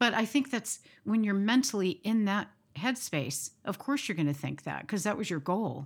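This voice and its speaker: On a very clean recording with a silent background, a woman talks at a moderate pace at medium pitch, with vocal fry and very wide pitch swings. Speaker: podcast host. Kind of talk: casual chat.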